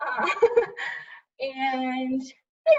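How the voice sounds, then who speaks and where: A woman with an American accent sounds somewhat breathy, using lively intonation. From Michigan. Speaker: Air Force staff sergeant. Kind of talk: casual interview.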